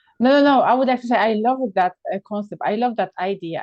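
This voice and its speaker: With a Polish accent, a woman talks at a fairly quick pace with lively intonation. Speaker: podcast host. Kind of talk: casual chat. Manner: animated.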